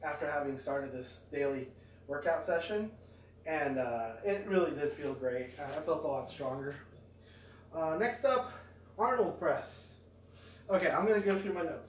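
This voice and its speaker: Amid noticeable background noise and audible room echo, a man with a fairly high pitch talks at a moderate pace with lively intonation and long, frequent pauses. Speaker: fitness vlogger. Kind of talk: workout tutorial. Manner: hesitant, many fillers.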